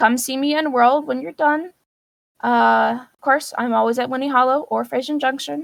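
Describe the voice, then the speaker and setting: Speaking at a fairly slow pace, a woman talks. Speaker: virtual world modding teacher. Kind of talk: tutorial.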